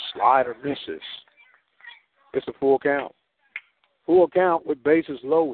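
With an American accent and fairly high pitch, a man speaks at a fairly slow pace with fairly even intonation and long, frequent pauses. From US Midwest. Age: 50s. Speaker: radio sports announcer. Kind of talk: live baseball play-by-play commentary. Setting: radio broadcast from ballpark.

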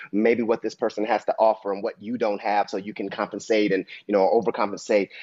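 At a very fast pace, a man with an American accent talks at medium pitch. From US Midwest, Dayton, Ohio. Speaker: actor and director. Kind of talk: interview.

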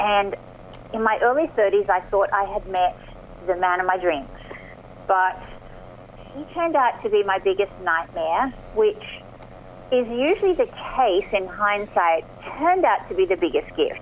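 With noticeable background noise, a woman in an Australian accent speaks at a moderate pace and medium pitch, using lively intonation and long, frequent pauses. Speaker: performance coach and author. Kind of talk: radio interview. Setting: phone call.

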